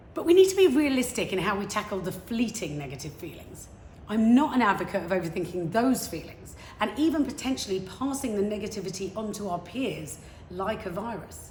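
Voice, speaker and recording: With audible room echo, a woman talks in an energetic tone at a fairly quick pace. Her pitch is medium, her intonation lively, and her loudness swings widely. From England, London. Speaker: motivational speaker. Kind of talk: prepared talk.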